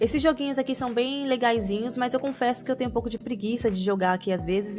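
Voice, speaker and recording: Against music in the background, a woman speaks at a fairly high pitch with ordinary pitch variation. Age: adult. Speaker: language-learning youtuber. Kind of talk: tutorial. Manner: casual, conversational.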